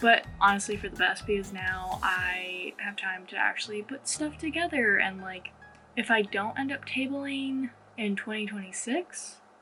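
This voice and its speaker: Against music in the background, the voice has lively intonation, a moderate pace and big swings in loudness. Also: woman, medium pitch for a woman. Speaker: artist vlogger. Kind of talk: casual vlog monologue. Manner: rambling with self-corrections and stumbles.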